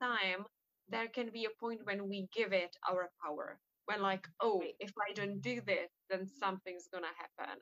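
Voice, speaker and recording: A woman with a non-native accent, fairly slow, medium-pitched with ordinary pitch variation, in a dry, close recording with no echo. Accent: noticeable non-native English. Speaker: hypnotherapist and podcast host. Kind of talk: podcast interview.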